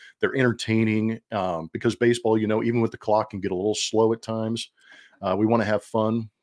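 Delivered with a dry, close sound and no echo, the speech comes at a very fast pace in an American accent with monotone, flat intonation. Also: man, medium pitch for a man. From US West, Los Angeles area. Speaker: baseball color commentator, former player. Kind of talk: casual interview.

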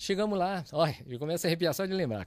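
The recording is very clean, with a silent background. A man speaks with a Japanese accent and lively intonation. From Brazil, Londrina, Paraná. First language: Japanese (speaking Portuguese). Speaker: church audio engineer. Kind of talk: casual interview chat.

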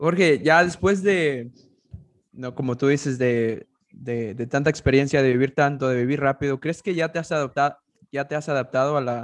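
A man speaks at a moderate pace in a plain, everyday voice, his pitch fairly high with ordinary variation, against a quiet background. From US, arrived from abroad age 11. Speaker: interviewer. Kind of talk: interview.

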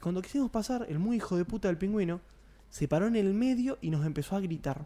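His tone dark and mellow, a man speaks at a high pitch with lively intonation. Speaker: radio show co-host. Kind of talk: casual chat.

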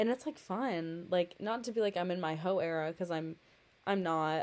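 A woman with an ordinary speaking voice and fairly low pitch. She talks at a fairly quick pace. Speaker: podcaster. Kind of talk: casual solo monologue. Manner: rambling, self-deprecating; informal, chatty.

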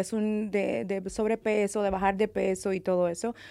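Here a woman speaks at a fairly slow pace and medium pitch with fairly even intonation, captured on a very clean recording with a silent background. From California. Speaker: makeup artist. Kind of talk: interview. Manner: halting.

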